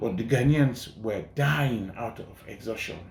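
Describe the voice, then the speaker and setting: With audible room echo around him, a man speaks at a fairly slow pace in a somewhat breathy voice with ordinary pitch variation. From Sierra Leone. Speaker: journalist and documentary filmmaker. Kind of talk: interview.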